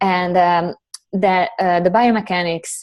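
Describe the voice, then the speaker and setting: A woman speaks at a fairly slow pace with a non-native accent, her fairly low pitch showing ordinary pitch variation. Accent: foreign. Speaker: Pilates instructor and corrective exercise specialist. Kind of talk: interview.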